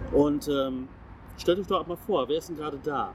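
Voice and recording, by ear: A man's fairly high voice, slightly mellow in tone, with lively intonation and a fairly slow pace.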